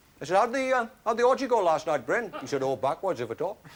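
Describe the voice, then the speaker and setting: A man speaks in a high voice. His pace is very fast. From Wales. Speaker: actor. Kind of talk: one-man stage play monologue. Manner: dry, humorous storytelling.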